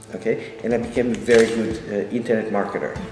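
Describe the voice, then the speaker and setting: A man speaks in a French accent at a moderate pace and medium pitch, monotone and flat. Music plays in the background, and the room echo is audible. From France. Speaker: real estate developer. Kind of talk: interview. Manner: hesitant, many fillers.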